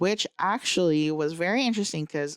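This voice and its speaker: Recorded very cleanly against a silent background, a woman's fairly low voice has ordinary pitch variation and a dry, close sound with no echo. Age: 30s. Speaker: podcast co-host. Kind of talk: casual chat. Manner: loud.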